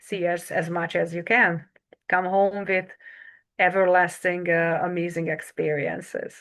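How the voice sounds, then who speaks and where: In a Hungarian accent, a woman speaks at a fairly slow pace with a fairly low pitch. Her intonation is monotone and flat, and the background is quiet. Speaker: travel agent. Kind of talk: interview. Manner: halting.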